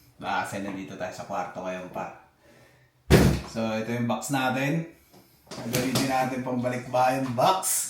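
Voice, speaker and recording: Against noticeable background noise and audible room echo, a man speaks at a moderate pace with a medium pitch and ordinary pitch variation. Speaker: vlogger. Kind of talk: casual vlog talk. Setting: indoors in a room. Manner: animated. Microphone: muffled sound.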